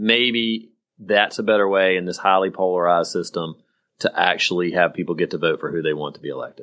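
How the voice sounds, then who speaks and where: In an American accent, a man with a very deep, low pitch and a bright, sharp tone talks at a fairly quick pace with fairly even intonation, on a very clean recording with a silent background. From rural South Carolina. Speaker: podcast co-host, former politician. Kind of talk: casual political chat.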